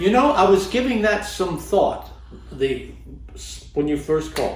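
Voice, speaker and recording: A man talks at a fairly slow pace. Noticeable background noise runs under his voice. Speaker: actor. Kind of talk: interview answer. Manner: dry wit.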